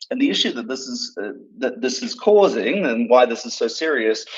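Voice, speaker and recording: Speech at a moderate pace with an Australian accent. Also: man. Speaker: doctor. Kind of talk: interview. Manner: halting, many fillers.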